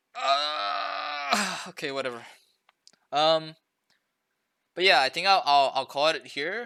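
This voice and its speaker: Speaking at a very slow pace with long, frequent pauses, a man has fairly high pitch, ordinary pitch variation and a bright, sharp tone. The recording is very clean, with a silent background. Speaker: streamer and game coach. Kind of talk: casual chat. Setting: live stream late at night. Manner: stutters often; halting with many fillers.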